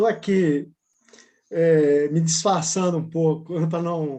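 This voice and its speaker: This man has a high pitch and a dark, mellow tone. His intonation stays fairly even. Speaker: graduate student. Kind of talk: Q&A question.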